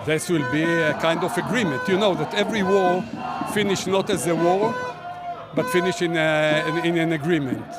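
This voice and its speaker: Over crowd noise and audible room echo, a man speaks at a moderate pace in a high pitch, with ordinary pitch variation and very even loudness. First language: Hebrew. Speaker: protester. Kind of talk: street interview. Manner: halting.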